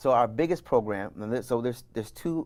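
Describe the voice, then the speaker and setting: Recorded very cleanly with a silent background, a man speaks at a very fast pace with ordinary pitch variation. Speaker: wellness business founder. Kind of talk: interview.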